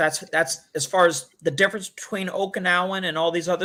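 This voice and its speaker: This man's voice has a bright, sharp tone. His pitch sits high. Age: 60s. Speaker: martial arts master. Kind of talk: interview.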